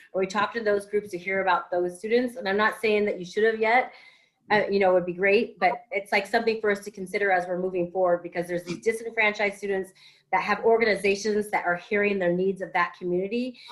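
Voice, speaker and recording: A woman's medium-pitched voice at a very fast pace, flat and monotone. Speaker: school board member. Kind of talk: board meeting discussion.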